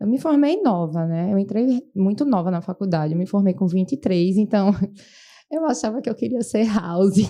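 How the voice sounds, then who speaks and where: A woman speaks with lively, bouncing intonation. Her tone is dark and mellow. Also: medium pitch for a woman, moderate pace. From Brazil, Recife (Pernambuco). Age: 30s. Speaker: medical resident physician. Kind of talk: podcast interview.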